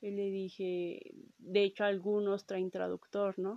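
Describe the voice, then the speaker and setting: With a Mexican accent, a woman speaks fairly slowly in a dark, mellow, monotone voice, with a dry, close sound and no echo. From Mexico. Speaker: podcast host. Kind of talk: storytelling monologue. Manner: casual, with many fillers.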